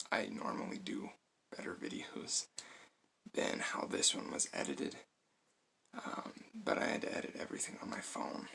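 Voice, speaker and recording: A man's whisper broken by long, frequent pauses. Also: moderate pace. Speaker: product reviewer. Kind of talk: casual vlog talk to camera. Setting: at home, close to camera. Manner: hesitant, many fillers.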